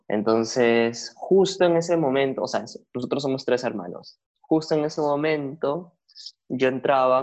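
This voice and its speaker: A man with a normal speaking voice talks at a fairly slow pace in a medium pitch. His pitch varies in an ordinary way, against a quiet background. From Peru (Lima). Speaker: social media content creator. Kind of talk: casual interview conversation.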